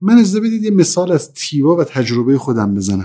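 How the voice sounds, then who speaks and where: A man speaks at a moderate pace in a fairly high pitch. His tone is dark and mellow. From Iran, Mashhad (Khorasan). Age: 30s. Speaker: business manager. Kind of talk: interview.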